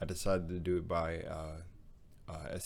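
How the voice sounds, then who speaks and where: Room echo can be heard around a man whose voice is very deep and low. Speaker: YouTuber reacting to videos. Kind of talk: casual video intro.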